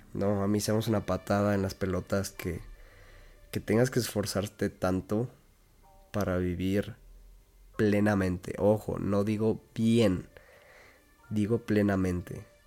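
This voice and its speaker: Very slowly and with long, frequent pauses, a man talks in a fairly low voice with a dark, mellow tone. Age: 20s. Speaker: podcast host. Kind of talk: casual monologue. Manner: flat, not very excited-sounding; halting.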